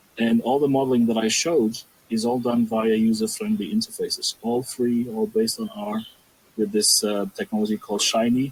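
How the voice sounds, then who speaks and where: A man speaks at a fairly quick pace. There is noticeable background noise. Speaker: archaeological scientist presenting a database. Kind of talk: academic discussion. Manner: fast.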